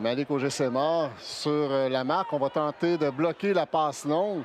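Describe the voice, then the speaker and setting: Noticeable background noise sits behind speech at a fairly slow pace with ordinary pitch variation. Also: man. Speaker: sports analyst. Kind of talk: live sports play-by-play commentary.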